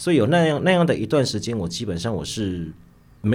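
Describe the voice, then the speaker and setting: A man's fairly low voice with very wide pitch swings at a fairly quick pace. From Taiwan, Nantou. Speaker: novelist and high school teacher. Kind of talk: interview conversation.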